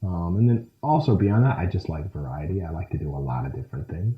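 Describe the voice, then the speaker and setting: Music can be heard in the background. The voice comes with an American accent. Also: man. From USA, Michigan. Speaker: action film actor and martial artist. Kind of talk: interview answer.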